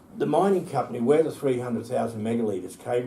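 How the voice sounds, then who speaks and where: A man's medium-pitched voice with an Australian accent, plus audible room echo. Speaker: environmental campaigner. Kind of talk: interview.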